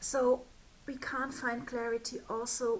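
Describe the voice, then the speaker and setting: Amid noticeable background noise, a woman with a German accent speaks at a very slow pace. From Germany. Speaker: spiritual business mentor. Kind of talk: direct-to-camera talk. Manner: hesitant, with fillers.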